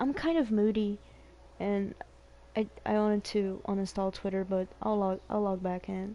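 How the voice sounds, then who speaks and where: At a moderate pace, a woman talks with medium pitch and fairly even intonation. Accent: Portuguese. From Brazil. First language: Portuguese. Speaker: video game streamer. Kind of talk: casual chat. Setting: live stream.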